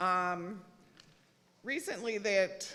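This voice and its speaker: A loud woman's voice at medium pitch, bright and sharp in tone, with ordinary pitch variation. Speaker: public commenter, nurse. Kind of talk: public hearing comment.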